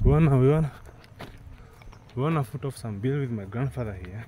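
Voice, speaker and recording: A man speaks at a fairly quick pace in a medium pitch, with ordinary pitch variation and noticeable background noise. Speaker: vlogger. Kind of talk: casual vlog. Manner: fast; animated.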